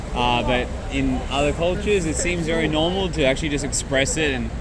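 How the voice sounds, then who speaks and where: The voice has an Australian accent. There is audible room echo along with noticeable background noise. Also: man. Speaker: travel vlogger. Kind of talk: casual chat. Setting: outdoors.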